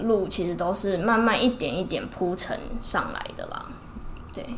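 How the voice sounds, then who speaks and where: A woman speaks in a Taiwanese accent, her pitch fairly high with ordinary variation. Some room echo can be heard. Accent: Taiwanese Mandarin. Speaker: ear-cleaning shop owner, entrepreneur. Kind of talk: casual interview. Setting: in her shop.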